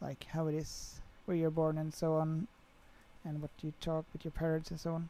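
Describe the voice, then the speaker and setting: A woman's very deep, low voice with a dark, mellow tone and a Swedish accent, at a moderate pace. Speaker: flight sim streamer. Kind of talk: live stream chat. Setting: livestream.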